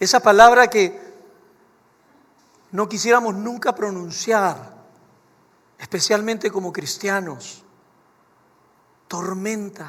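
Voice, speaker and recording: Very slow with long, frequent pauses, a man talks in a high pitch with ordinary pitch variation. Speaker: pastor. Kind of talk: sermon.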